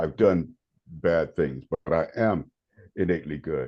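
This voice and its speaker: This man has an American accent and a very deep, low pitch. His intonation stays fairly even, with vocal fry. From North Carolina, Raleigh. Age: 70s. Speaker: meditation teacher and prison volunteer. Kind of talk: podcast interview. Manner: halting, repeats words.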